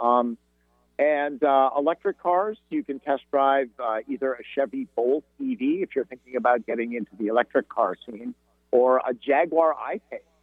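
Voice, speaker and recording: Music plays behind a man with a fairly high pitch. He speaks at a moderate pace with ordinary pitch variation. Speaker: auto show spokesman. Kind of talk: radio interview.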